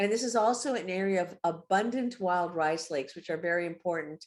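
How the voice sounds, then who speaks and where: A woman speaks at a moderate pace in a fairly low voice with ordinary pitch variation. The recording is very clean, with a silent background. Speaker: environmental advocacy director and lawyer. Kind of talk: presentation. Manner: halting with fillers and restarts.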